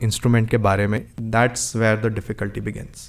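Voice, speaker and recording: A man at medium pitch speaks at a moderate pace. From Delhi, India (from age four). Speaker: musician. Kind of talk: podcast interview. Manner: composed, measured podcast-like delivery.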